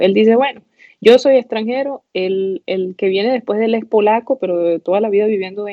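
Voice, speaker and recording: A woman with an eastern Venezuelan accent at a fairly quick pace. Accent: eastern Venezuelan (El Tigre). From eastern Venezuela (El Tigre, Anzoátegui). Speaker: pathology resident physician. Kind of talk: casual interview chat.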